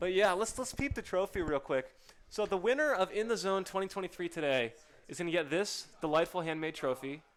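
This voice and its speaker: A loud man's voice at a high pitch, with noticeable background noise. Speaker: esports commentator. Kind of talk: live commentary. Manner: animated.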